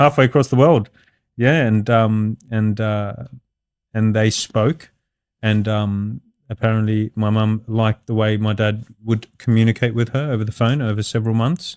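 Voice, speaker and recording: A moderate pace and fairly even intonation, with a dry, close sound free of echo, on a very clean recording over a silent background. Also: man, medium pitch for a man. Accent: Australian. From Australia (Sydney), Lebanese heritage. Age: 30s. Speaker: construction business owner. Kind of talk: podcast interview. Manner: hesitant, many fillers.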